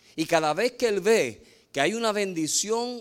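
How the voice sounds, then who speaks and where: This man's voice sits high in pitch, and he talks at a fairly slow pace. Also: very clean recording, silent background. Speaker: preacher. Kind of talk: sermon.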